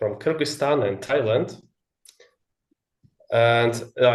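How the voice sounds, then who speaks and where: Speaking with a Russian accent, a man uses a medium pitch with ordinary pitch variation. His voice is somewhat breathy and his pace fairly slow. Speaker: English learner. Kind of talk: casual chat. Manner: halting.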